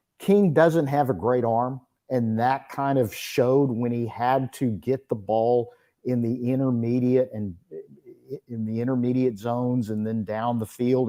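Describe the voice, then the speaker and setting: In an East Texas accent, the voice has a dark, mellow tone, moving at a fairly slow pace with ordinary pitch variation. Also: man. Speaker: college football reporter. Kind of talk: sports talk radio interview.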